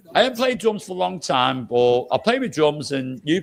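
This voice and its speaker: This man speaks with a British accent. His pitch swings very widely. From UK. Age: 60s. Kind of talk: casual chat. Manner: animated.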